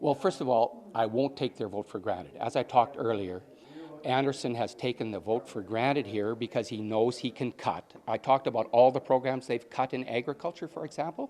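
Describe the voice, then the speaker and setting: With a Canadian prairie accent, a man speaks at a fairly quick pace. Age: 60s. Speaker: election candidate, farmer. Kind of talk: interview.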